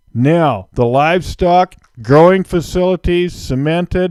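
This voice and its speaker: A man with an ordinary speaking voice talks in an American accent at a fairly high pitch, with ordinary pitch variation. The sound is dry and close with no echo, on a very clean recording with a silent background. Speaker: auctioneer. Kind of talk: property tour narration, real estate sales pitch. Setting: outdoors on location.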